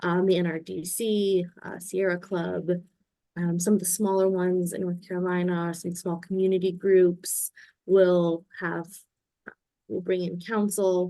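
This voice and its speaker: Her tone is dark and mellow, and her intonation is flat and monotone. The woman speaks at a fairly slow pace. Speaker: lawyer, webinar speaker. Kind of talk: Q&A in a legal webinar.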